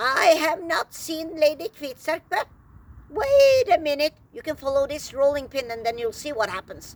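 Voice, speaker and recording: A woman's squeaky, high-pitched put-on character voice with lively intonation at a moderate pace. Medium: read story.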